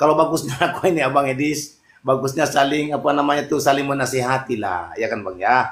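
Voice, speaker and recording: A man with a normal speaking voice talks fairly quickly at a fairly high pitch, with hardly any pauses. His pitch variation is ordinary. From Mandar, West Sulawesi, Indonesia. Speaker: caller in online religious debate room. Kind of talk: casual debate chat.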